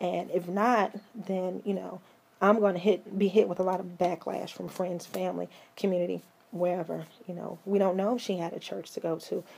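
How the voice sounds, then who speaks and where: At a moderate pace, a woman with a medium pitch speaks in a shaky voice with monotone, flat intonation. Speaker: vlogger and mental health advocate. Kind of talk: casual commentary vlog. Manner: halting, many fillers and repeats.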